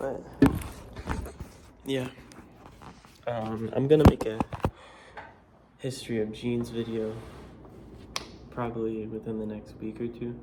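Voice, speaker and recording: A man speaks at a fairly slow, relaxed pace in a medium pitch with monotone, flat intonation and long, frequent pauses. His loudness swings widely, and there is noticeable background noise. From Florida. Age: 20s. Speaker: vlogger. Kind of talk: casual vlog monologue. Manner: relaxed, filler-heavy casual speech.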